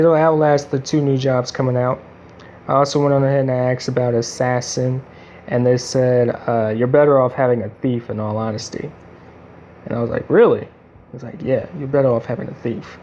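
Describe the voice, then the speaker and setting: A man talks with a medium pitch and fairly even intonation, keeping a moderate pace. Behind him there is noticeable background noise. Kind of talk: casual gameplay commentary.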